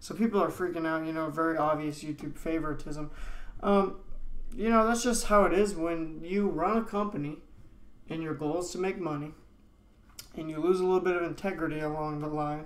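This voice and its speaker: Speaking at a fairly quick pace yet with long, frequent pauses, a man with a fairly high pitch is heard in audible room echo. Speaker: podcaster. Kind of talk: solo podcast monologue. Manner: monotonous; stuttering. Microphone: laptop recording, unedited.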